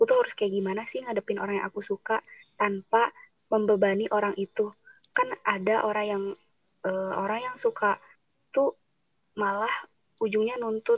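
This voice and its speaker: At a moderate pace, a woman speaks with long, frequent pauses. The sound is dry and close, with no echo. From Subang, West Java. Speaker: university student. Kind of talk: casual chat. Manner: blunt, outspoken.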